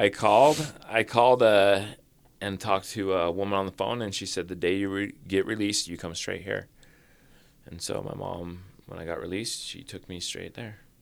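Recorded very cleanly against a silent background, a man with an ordinary speaking voice and fairly low pitch talks at a moderate pace with ordinary pitch variation and big swings in loudness. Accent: American. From Utah, US (Orem, Springville). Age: 40s. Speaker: recovering addict sharing his story. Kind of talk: personal testimony interview.

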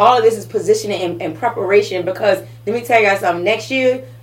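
Noticeable background noise fills the recording. Over it, a woman talks very fast. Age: 40s. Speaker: motivational speaker and business owner. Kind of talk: casual chat.

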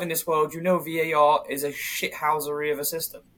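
A man talks with a London accent. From London, England. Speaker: football podcast co-host. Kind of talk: casual chat.

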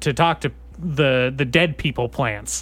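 A man with an ordinary speaking voice and ordinary pitch variation talks at a moderate pace in a very clean recording with a silent background. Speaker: podcast host. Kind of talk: casual comedic banter. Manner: joking, laughs often.

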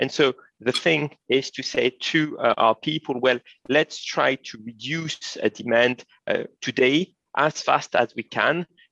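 This voice sounds bright and sharp, with fairly even intonation at a fairly slow pace. The sound is dry and close, with no echo. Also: man, fairly high pitch for a man. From France. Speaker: energy expert and academic. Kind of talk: interview. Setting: video call. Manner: halting.

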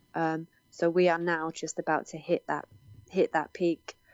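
A woman with a British accent, a fairly low voice and a fairly slow pace. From UK. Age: 20s. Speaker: paranormal investigator. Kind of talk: interview.

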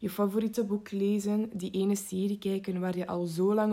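With a dark, mellow tone, a woman's intonation stays monotone and flat. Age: 18. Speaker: psychology student. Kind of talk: scripted narration.

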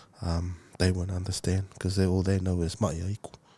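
A very deep, low male voice, somewhat breathy with a dark, mellow tone, at a moderate pace on a very clean recording with a silent background. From Samoa. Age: 40s. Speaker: mental health advocate. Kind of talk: interview testimony.

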